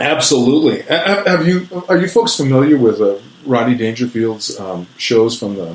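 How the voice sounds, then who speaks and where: A man talks at a moderate pace in a medium pitch. His pitch swings very widely over noticeable background noise. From New Mexico, Albuquerque. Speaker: author and stand-up comedian. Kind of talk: casual chat. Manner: animated.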